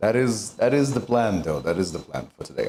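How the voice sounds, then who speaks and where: A man speaks loudly at a fairly quick pace, his fairly low voice swinging very widely in pitch with vocal fry. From Latin America. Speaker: VTuber streamer and voice actor. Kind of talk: live stream cooking chat. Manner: animated.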